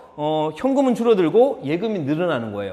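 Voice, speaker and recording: A man's pitch swings very widely as he talks. The room echo is audible. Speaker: high school accounting teacher. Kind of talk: lecture. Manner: fast.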